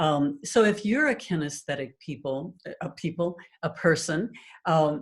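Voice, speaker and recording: Somewhat breathy, a woman speaks fairly slowly in a very deep, low voice. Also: ordinary pitch variation. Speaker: hypnotherapist. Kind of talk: teaching talk to online group.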